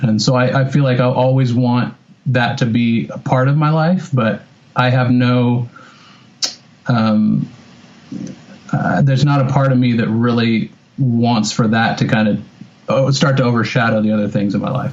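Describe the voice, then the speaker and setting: A man with an American accent keeps a moderate pace and fairly even intonation, leaving long, frequent pauses over noticeable background noise. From Northern California. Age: 30s. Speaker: metal guitarist. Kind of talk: interview. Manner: hesitant, many fillers.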